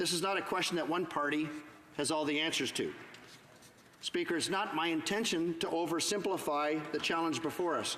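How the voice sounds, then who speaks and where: This voice moves at a fairly quick pace with fairly even intonation. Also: man. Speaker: Member of Parliament giving a speech in the House of Commons. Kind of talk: parliamentary floor speech / debate.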